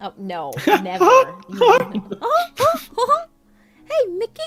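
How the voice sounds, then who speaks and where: A put-on character voice, fairly high in pitch, at a very slow pace. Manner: menacing.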